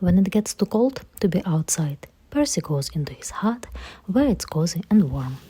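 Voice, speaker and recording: A woman with a non-native accent speaks at a moderate pace, her voice somewhat breathy and fairly low in pitch. Her tone is dark and mellow, with very wide pitch swings. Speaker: parent reading to her child. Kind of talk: children's picture book read-aloud.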